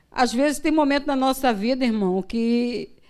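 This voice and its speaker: In a very clean recording with a silent background, a woman speaks at a fairly slow pace in a high pitch with ordinary pitch variation. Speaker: missionary preacher. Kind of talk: sermon. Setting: church.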